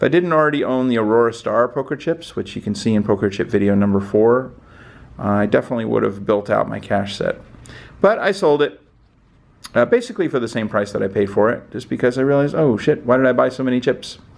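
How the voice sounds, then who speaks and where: A man's very fast talking with lively intonation. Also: medium pitch for a man. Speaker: poker chip collector, video host. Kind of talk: casual show-and-tell video.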